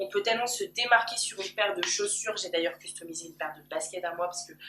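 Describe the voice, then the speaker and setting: A woman's medium-pitched voice at a very fast pace, ordinary pitch variation, and noticeable background noise. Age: 20s. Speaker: YouTuber. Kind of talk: personal vlog. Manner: loud. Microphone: camcorder built-in mic.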